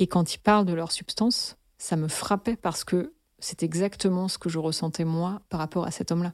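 Recorded very cleanly against a silent background, an unremarkable speaking voice moves at a moderate pace. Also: woman, fairly low pitch for a woman, fairly even intonation. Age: 30s. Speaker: listener sharing personal story. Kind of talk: testimony.

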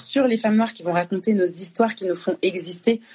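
Somewhat breathy and fairly high-pitched, a woman talks at a fairly quick pace with ordinary pitch variation. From France (born in Congo, moved at two). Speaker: artist and actress. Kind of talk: casual conversation on a live stream. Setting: Instagram live.

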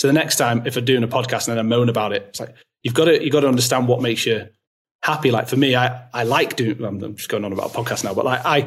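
A somewhat breathy male voice of medium pitch with ordinary pitch variation. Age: 30s. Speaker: eCommerce brand founder. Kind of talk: interview conversation.

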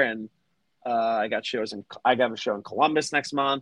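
Speaking at a fairly quick pace, a man uses fairly even intonation and a normal speaking voice. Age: 30s. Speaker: fan group admin and comedian. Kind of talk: casual chat. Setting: comedy club.

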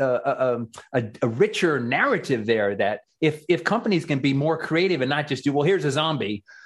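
A man with an ordinary speaking voice, fairly high in pitch, talks at a moderate pace with lively intonation over a quiet background. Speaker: radio host.

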